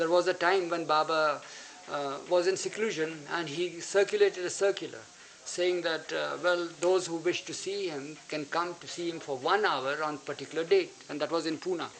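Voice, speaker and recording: A man's high voice at a moderate pace, with fairly even intonation and noticeable background noise. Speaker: spiritual disciple recounting memories. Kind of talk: storytelling to an audience. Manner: halting.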